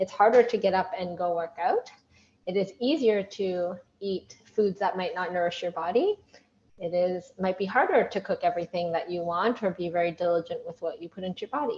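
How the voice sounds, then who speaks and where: Speaking at a fairly quick pace, a woman uses a plain, everyday voice of medium pitch with ordinary pitch variation. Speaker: workshop leader. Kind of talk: online workshop. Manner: upbeat.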